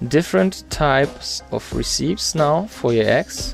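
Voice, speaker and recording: A man speaks fairly slowly with music in the background. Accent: non-native. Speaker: gaming YouTuber. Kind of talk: game changelog walkthrough narration. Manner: casual, hesitant.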